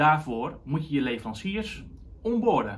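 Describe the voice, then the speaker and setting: A man's voice carries vocal fry as he speaks at a fairly slow pace. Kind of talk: explainer to camera. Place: office.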